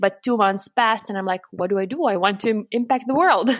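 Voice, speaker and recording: A woman with a Lithuanian accent at a fairly quick pace. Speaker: customer support manager and happiness coach. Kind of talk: interview.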